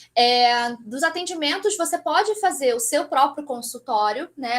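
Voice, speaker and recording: A woman with a high pitch speaks with lively intonation on a very clean recording with a silent background. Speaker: aesthetic pharmacist. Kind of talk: lecture. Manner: fast.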